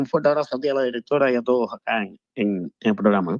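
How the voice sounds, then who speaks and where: A man talks at a very fast pace with ordinary pitch variation, his sound dry and close with no echo. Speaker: caller. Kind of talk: phone-in call. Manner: halting, many repetitions.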